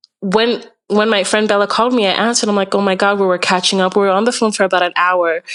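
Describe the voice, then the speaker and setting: A woman's flat, monotone delivery at a very fast pace, with very even loudness. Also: medium pitch for a woman. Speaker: podcast guest sharing relationship story. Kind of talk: casual chat. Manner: calm; hesitant, many fillers.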